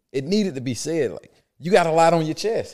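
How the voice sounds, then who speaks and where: A man with an American accent and vocal fry. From US South, Atlanta. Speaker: lawyer and podcast co-host. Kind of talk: casual chat.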